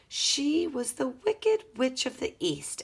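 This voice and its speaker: Using a put-on character voice, a woman speaks in a high, raspy pitch with very wide swings. Her pace is fairly slow and her tone gentle and calm. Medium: read story. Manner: gentle, calm.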